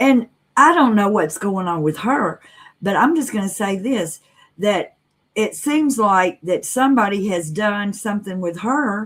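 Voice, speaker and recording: A woman with a Southern US accent speaks at a fairly slow pace and medium pitch. Her intonation is lively and her voice somewhat breathy. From US South, Mississippi. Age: 60s. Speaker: live streamer. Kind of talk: casual chat.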